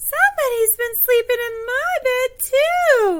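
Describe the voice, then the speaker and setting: A put-on, female-sounding character voice at an extremely high pitch and a fairly slow pace. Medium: read story.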